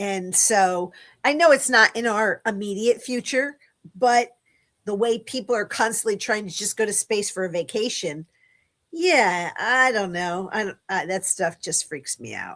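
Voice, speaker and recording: Fairly slow speech from a woman with a fairly high pitch and lively intonation. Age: 60s. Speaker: guest on a livestream. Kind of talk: casual chat. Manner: hesitant, many fillers.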